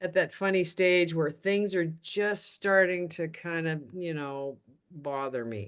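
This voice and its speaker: At a very slow pace, a woman speaks in a fairly low pitch with ordinary pitch variation. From Canada. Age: 60s. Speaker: retired TV and radio host. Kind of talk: podcast interview. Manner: halting, many restarts.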